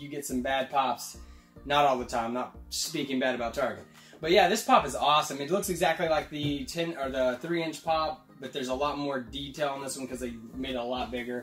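Faint music plays in the background. The speech moves at a fairly quick pace with ordinary pitch variation. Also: man. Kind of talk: casual vlog chat. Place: home room.

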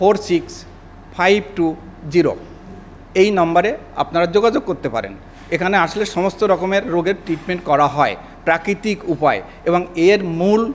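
With ordinary pitch variation, a man's voice rides at a high pitch. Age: 70s. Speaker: customer and product stockist. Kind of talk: testimonial. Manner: halting.

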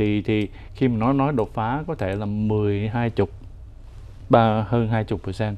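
A man speaks at a very slow pace and a fairly low pitch, with fairly even intonation and long, frequent pauses. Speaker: finance commentator. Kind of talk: casual chat. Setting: studio. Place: studio.

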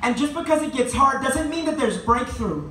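A man talks at a moderate pace with ordinary pitch variation. There is audible room echo and light background noise. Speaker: university student spoken word poet. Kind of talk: spoken word poetry performance. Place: cafe. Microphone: camera far.

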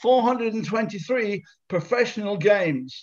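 The speaker is a man with a high pitch. Nothing much stirs in the quiet background. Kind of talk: evangelistic meeting hosting. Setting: video call. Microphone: video call.

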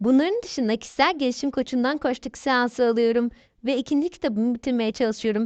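Someone talks at a fairly quick pace with ordinary pitch variation, recorded dry and close with no echo against a quiet background. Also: woman, high pitch for a woman. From Thrace, Turkey (Kırklareli). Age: 30s. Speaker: author. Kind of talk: interview.

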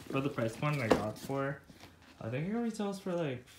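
A man speaks over noticeable background noise. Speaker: product reviewer. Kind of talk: casual product review. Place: home room. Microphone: phone near.

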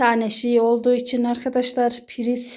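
A fairly slow pace in a woman's high-pitched voice. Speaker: vlogger, housewife. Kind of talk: home tour vlog. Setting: at home. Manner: casual, chatty.

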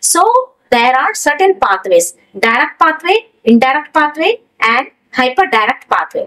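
In a quiet background, a woman's pitch swings very widely. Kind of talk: lecture. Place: studio.

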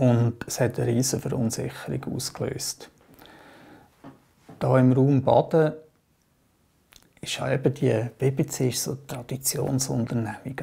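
Slow-paced and broken by long, frequent pauses, a man's dark, mellow voice carries vocal fry and a monotone, flat intonation. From Aargau, Switzerland. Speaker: trade unionist and politician. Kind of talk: oral history interview answer. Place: home room.

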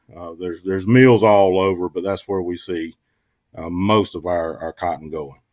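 Over a quiet background, a man speaks in a normal speaking voice. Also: dry sound with no echo. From eastern North Carolina. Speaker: agricultural extension specialist; guest. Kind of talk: radio interview. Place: home room.

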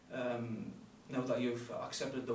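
A man's voice with audible room echo and light background noise. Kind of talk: solemn address and prayer. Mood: calm, solemn, warm. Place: meeting room.

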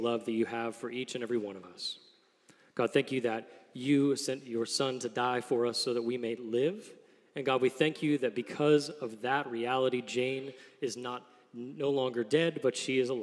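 A man at a moderate pace, fairly even in intonation, against a quiet background. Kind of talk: welcome address and prayer. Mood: solemn, warm. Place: stage. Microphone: studio mic.

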